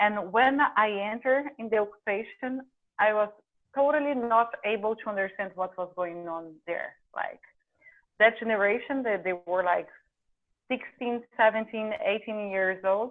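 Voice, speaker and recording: A woman's fairly high voice with ordinary pitch variation and long, frequent pauses. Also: moderate pace. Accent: Portuguese. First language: Portuguese. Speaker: documentary filmmaker. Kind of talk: interview. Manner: halting.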